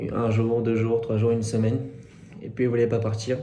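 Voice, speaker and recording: The pace is moderate. Audible echo fills the room. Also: man. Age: 30s. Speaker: tinnitus sufferer giving testimony. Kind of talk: testimony. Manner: halting, many hesitations.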